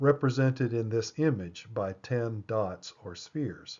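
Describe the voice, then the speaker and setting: A man's normal speaking voice at a medium pitch with ordinary pitch variation. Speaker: lecturer on esoteric symbolism. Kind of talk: lecture. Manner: measured, explanatory.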